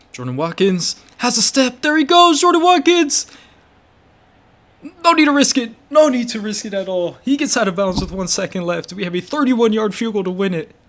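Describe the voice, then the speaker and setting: A man's high, animated voice with very wide pitch swings, moderate pace and noticeable background noise. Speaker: gaming youtuber. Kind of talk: gameplay commentary.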